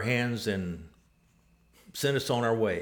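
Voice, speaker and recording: A man with a West Texas accent at a fairly slow pace. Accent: West Texas drawl. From West Texas (Abilene). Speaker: church member, former overseas missionary builder. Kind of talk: interview, personal storytelling. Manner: halting, many filler words.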